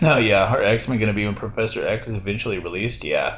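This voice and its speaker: A man talks loudly at a very fast pace. The room echo is audible. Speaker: gaming streamer. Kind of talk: casual chat. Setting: hotel room, live with Discord.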